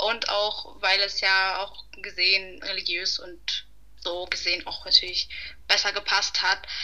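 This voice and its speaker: Against noticeable background noise, a woman speaks at a fairly slow pace in a monotone, flat intonation. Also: medium pitch for a woman. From Hamburg, Germany. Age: 20s. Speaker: student, podcast guest. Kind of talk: casual conversation.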